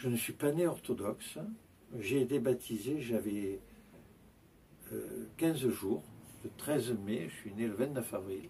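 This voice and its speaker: A man speaks at a very slow pace with long, frequent pauses, his pitch medium and his intonation lively. His tone is dark and mellow, with vocal fry. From Provence, France (near Avignon). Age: 70s. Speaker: Orthodox priest. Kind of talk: interview, life story. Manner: hesitant, many filler sounds.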